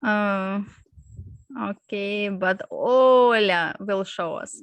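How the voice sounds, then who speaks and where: A woman speaks at a very slow pace and a medium pitch. Her intonation is fairly even against a quiet background. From Ukraine. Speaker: startup founder. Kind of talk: startup pitch. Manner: halting.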